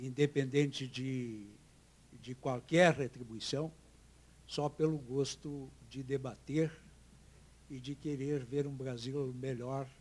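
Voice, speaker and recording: Monotone, flat intonation at a very slow pace, with long, frequent pauses and big swings in loudness. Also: man, medium pitch for a man. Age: 70s. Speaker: retired high court labour judge. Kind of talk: improvised panel talk. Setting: symposium panel with audience. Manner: formal.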